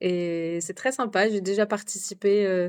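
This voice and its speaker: With a medium pitch and fairly even intonation, a woman speaks at a fairly slow pace. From France. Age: 30s. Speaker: expatriate mother. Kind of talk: podcast interview. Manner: hesitant, many fillers.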